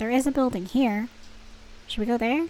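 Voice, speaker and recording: A woman speaks very fast in a fairly high voice. Music plays in the background. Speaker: gaming streamer. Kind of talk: let's play commentary. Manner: animated.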